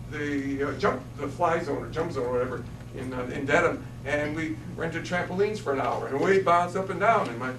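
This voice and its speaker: A man with a fairly high voice talks at a fairly quick pace with ordinary pitch variation, audible room echo and noticeable background noise. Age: 60s. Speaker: state elder services official. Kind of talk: public meeting presentation. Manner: halting, with frequent repetitions.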